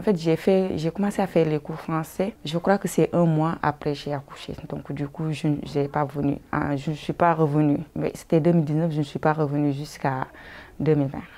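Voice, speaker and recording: Her voice sits very deep and low, with a dark, mellow tone. The intonation is fairly even throughout. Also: moderate pace. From Senegal, Casamance. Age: 30s. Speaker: migrant woman, language learner. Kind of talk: interview. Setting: indoors at a women's centre. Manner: halting.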